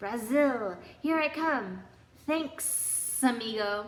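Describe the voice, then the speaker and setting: A woman in a put-on character voice with a high pitch, at a very slow pace, with audible echo and hissing. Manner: cheerful, thankful.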